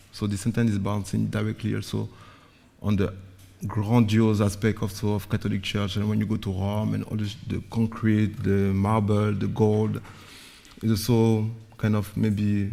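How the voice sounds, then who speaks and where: A dark, mellow tone at a fairly slow pace, with flat, monotone intonation and long, frequent pauses. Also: man. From Guadeloupe, later Paris. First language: Guadeloupean Creole / French. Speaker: visual artist. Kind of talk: artist talk presentation.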